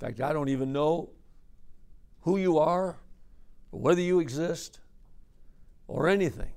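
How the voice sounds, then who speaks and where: A man speaks at a moderate pace, with long, frequent pauses. His pitch is fairly high for a man, with ordinary variation and a dramatic tone. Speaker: preacher. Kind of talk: sermon, conference preaching workshop. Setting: conference session with live audience of men. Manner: earnest, conversational, exhorting; storytelling, dramatic delivery with quoted dialogue.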